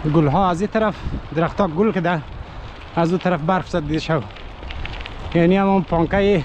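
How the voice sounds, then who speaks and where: A dry sound with no echo, plus noticeable background noise. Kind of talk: casual vlog chat. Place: open country. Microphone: phone near.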